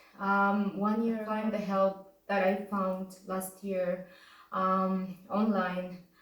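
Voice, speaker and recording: Through noticeable background noise and audible room echo, a woman with a medium pitch speaks very slowly in a monotone, flat intonation. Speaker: vlogger sharing injury recovery story. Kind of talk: personal testimony to camera. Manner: hesitant, many fillers.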